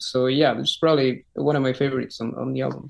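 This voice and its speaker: A man with a Spanish accent. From Chile. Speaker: rock singer. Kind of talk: interview. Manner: halting, many repetitions.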